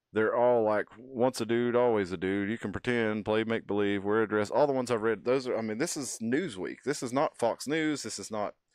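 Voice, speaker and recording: With a Texas accent, a man speaks at a medium pitch and a fairly quick pace. The background is quiet. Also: ordinary pitch variation. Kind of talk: casual chat. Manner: halting.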